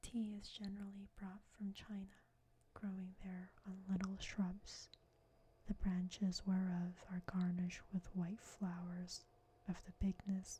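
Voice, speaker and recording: Soft-spoken whispering moves along at a fairly slow pace. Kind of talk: soft-spoken ASMR reading of a book. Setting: binaural microphone recording. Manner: soft-spoken, whispery.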